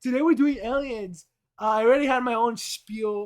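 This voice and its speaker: Pitch varies in an ordinary way as a man talks at a moderate speed. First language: Spanish. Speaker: streamer. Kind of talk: live stream chat. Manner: casual, profane.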